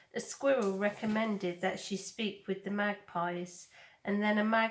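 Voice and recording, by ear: Natural-voiced reading aloud, the intonation fairly even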